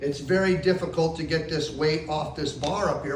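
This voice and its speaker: Audible room echo and noticeable background noise surround a voice moving at a moderate pace with ordinary pitch variation. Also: man. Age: 60s. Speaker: posture specialist. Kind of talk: tutorial. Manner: casual, conversational.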